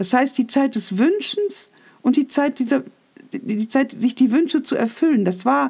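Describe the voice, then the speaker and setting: Her pitch high and swinging very widely, a woman speaks at a fairly slow pace. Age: 60s. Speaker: podcaster. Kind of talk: personal monologue. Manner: reflective.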